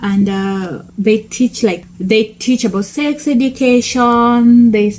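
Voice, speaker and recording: Noticeable background noise fills the clip. A woman speaks very slowly at a fairly high pitch. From Kenya. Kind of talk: casual talk to camera.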